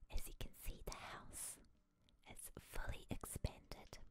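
A woman whispers at a very slow pace. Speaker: ASMR gaming creator. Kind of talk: whispered ASMR gameplay commentary. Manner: whispered.

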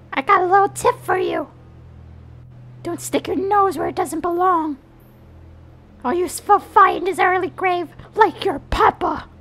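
An extremely high-pitched put-on character voice at a moderate pace, with long, frequent pauses. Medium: dub. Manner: aggressive, shouting.

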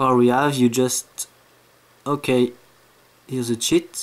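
Speaking in a French accent at a fairly slow pace, the voice stays monotone and flat. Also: man. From France. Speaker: gamer making a tutorial. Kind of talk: casual tutorial voice-over. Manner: hesitant, halting. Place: home room. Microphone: phone near.

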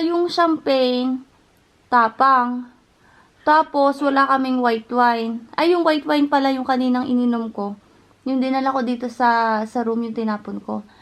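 A woman's high voice with ordinary pitch variation at a moderate pace. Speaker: vlogger. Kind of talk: vlog monologue. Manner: chatty.

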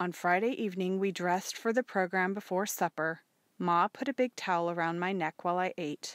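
The reading voice sounds natural. That holds from start to finish.

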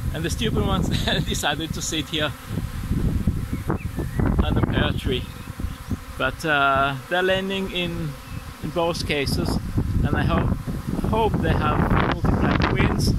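Loud noise fills the background and the sound is dry, with no echo. The speaker talks at a fairly slow pace, with long pauses that come often. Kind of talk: casual vlog chat. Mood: relaxed, amused. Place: garden. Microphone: phone near.

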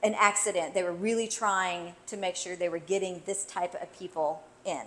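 Fairly even intonation runs through speech at a moderate pace. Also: woman. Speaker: local host. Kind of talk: casual vlog chat. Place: bar.

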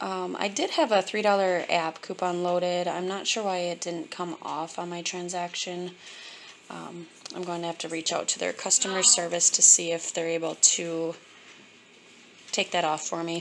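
A woman talks at a moderate pace in a fairly low pitch. Her intonation is monotone and flat, with light background noise. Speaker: couponer. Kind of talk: casual shopping haul talk to camera. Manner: monotone, flat. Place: kitchen. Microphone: phone near.

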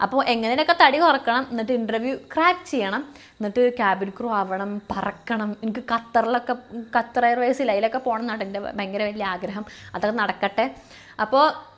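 This is a woman with a normal speaking voice and a fairly high pitch. Her pitch varies in an ordinary way. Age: 20s. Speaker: YouTuber and aviation student. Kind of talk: casual vlog monologue.

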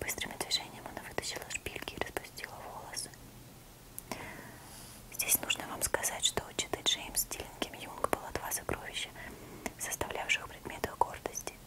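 This woman is whispering at a moderate pace. Her pauses are long and frequent. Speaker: ASMR creator. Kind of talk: whispered audiobook-style literary reading. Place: home room. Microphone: lapel.

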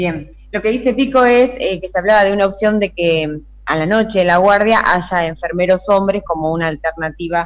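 A woman speaks at a moderate pace and medium pitch against a quiet background. She has a plain, everyday voice with ordinary pitch variation. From Argentina (Santa Fe province). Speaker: field reporter. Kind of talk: on-location interview. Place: studio.

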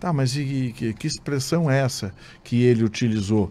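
A man speaks with a fairly high pitch. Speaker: state deputy and journalist-commentator; politician guest. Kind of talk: radio interview. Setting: radio studio. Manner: animated. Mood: critical, argumentative. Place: studio. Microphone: studio mic.

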